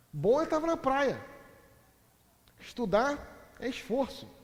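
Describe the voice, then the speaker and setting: A man's extremely high-pitched voice in an animated tone, with audible room echo. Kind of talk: lecture.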